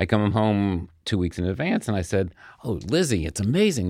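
A man speaks in a normal speaking voice. His pitch is fairly low, and his pace is fairly quick. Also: very clean recording, silent background. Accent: American. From New York suburbs (Scarsdale), US Northeast. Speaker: hotel executive and sports team co-owner. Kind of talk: interview conversation.

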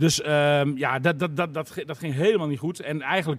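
A man with a normal speaking voice talks at a fairly high pitch, with ordinary pitch variation. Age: 40s. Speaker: sports reporter. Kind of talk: casual chat.

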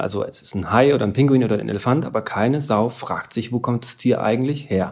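An unremarkable speaking voice at a fairly quick pace, in a very clean recording with a silent background. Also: man. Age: 40s. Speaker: podcast host and research diver. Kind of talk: casual conversational interview on location. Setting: outdoors at a zoo.

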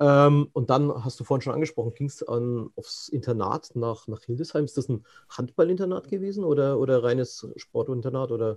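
A man's fairly high, somewhat breathy voice. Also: ordinary pitch variation, moderate pace, hardly any pauses. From Franconia. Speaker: podcast host. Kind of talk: interview. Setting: video call.

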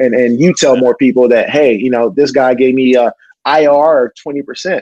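A man's fairly high-pitched voice with a dark, mellow tone, at a moderate pace, in a dry, close sound with no echo. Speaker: professional athlete. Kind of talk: casual chat.

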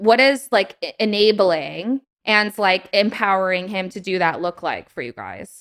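A woman talks in a mid-range register with a bright, sharp tone. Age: 20s. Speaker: podcast host. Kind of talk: casual interview chat.

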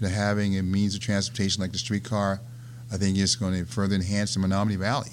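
Fairly low male voice with an American accent, a very fast pace, and fairly even intonation. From Virginia, US. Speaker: casino CEO. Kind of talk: interview conversation.

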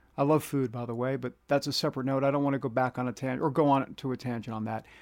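In a very clean recording with a silent background, a man speaks with a New York accent. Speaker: podcast host. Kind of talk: casual podcast monologue. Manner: chatty, self-deprecating.

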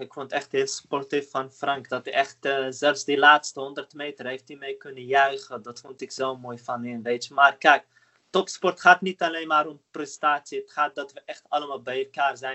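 At a moderate pace and with hardly any pauses, a man with a fairly high voice keeps a monotone, flat intonation while his loudness swings widely. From Netherlands. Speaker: marathon runner. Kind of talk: interview.

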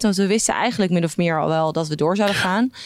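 With normal pitch movement, a woman's words come out very fast. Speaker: entertainment news coordinator. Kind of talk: casual interview.

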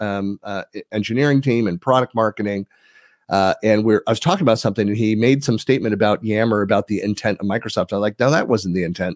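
Recorded very cleanly with a silent background and a dry, close sound with no echo, a man with a Californian accent speaks at a fairly low pitch with fairly even intonation. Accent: Californian American. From US, San Francisco Bay Area (East Bay). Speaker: tech community leader and podcaster. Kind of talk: casual interview. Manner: hesitant, many fillers.

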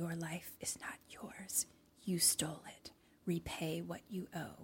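A menacing, whispering put-on character voice at a fairly slow pace. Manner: whispering, menacing.

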